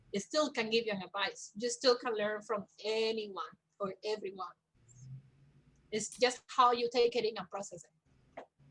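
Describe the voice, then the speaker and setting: A woman with a Spanish accent, fairly high-pitched, at a fairly slow pace. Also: ordinary pitch variation. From Cuba. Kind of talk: interview. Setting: livestream.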